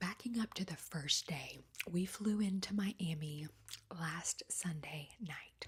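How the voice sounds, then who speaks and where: Soft-spoken and somewhat breathy, a woman speaks at a very slow pace in a fairly low pitch. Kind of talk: ASMR travel storytime.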